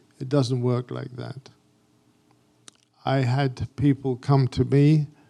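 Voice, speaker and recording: A man with an English accent speaks at a very slow pace and medium pitch. His tone is dark and mellow, with fairly even intonation. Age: 70s. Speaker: graphic designer and photographer. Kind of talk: artist talk.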